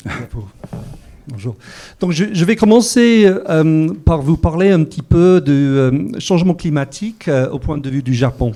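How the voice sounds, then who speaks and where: Very slowly, a man speaks in a fairly high voice. His pitch swings very widely. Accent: English. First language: English (speaking French). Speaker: corporate sustainability panelist. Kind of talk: conference talk. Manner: hesitant, many fillers.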